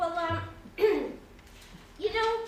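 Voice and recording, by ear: A woman uses a put-on character voice at an extremely high pitch with ordinary pitch variation. She talks at a very slow pace amid audible room echo.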